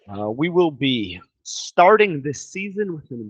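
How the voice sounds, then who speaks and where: A man talks at a very slow pace in a high pitch. His pitch swings very widely. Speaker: English teacher. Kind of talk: lecture.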